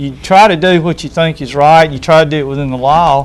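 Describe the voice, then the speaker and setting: The speaker talks with an Alabama accent and fairly even intonation. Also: man. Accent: Alabama Southern US. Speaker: school official. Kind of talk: TV talk show interview. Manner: halting, repeats words.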